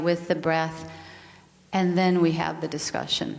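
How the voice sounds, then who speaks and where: A woman with a slight Danish accent speaks at a medium pitch, with audible room echo around her. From Denmark. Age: 50s. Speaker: yoga and mindfulness teacher, speaker. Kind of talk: spiritual talk.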